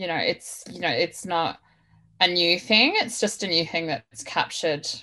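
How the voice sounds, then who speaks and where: Over a quiet background, a woman with an Australian accent uses a bright, sharp tone at a fairly low pitch with fairly even intonation. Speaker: activist and academic researcher. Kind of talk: panel discussion on radio. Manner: hesitant, many fillers.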